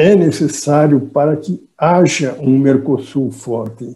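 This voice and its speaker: A dark, mellow, somewhat breathy voice at a very slow pace. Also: man. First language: Portuguese (speaking Spanish). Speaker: economics professor. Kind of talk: conference talk. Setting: video call.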